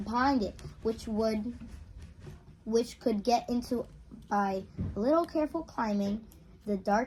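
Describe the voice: At a fairly slow pace, a woman speaks with a fairly high pitch, a slightly mellow tone and ordinary pitch variation.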